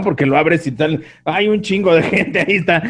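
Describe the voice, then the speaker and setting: A man's animated, fairly high voice at a moderate pace, with noticeable background noise. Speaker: podcast co-host. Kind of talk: casual chat.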